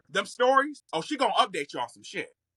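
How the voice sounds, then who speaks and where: In a dry, close recording with no echo, a man talks at a fairly quick pace in a raised, projected voice, his high pitch swinging very widely and his tone bright and sharp. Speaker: content creator. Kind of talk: casual chat.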